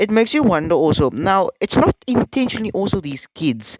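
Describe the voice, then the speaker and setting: The sound is dry and close, with no echo, as a man talks at a moderate pace. His pitch makes very wide swings. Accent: South African. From South Africa. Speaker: YouTuber, internet commentator. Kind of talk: casual commentary video. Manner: halting, many fillers.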